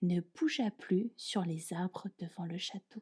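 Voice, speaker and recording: At a very slow pace, a woman speaks in a dark, mellow, somewhat breathy tone with a dry, close sound and no echo. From France. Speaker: French teacher. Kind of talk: fairy tale reading.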